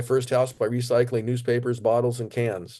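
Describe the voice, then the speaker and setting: Over a quiet background, a man speaks at a fairly quick pace in a dark, mellow tone. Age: 70s. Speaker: retired tradesman and travel blogger. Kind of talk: interview. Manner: halting with many fillers.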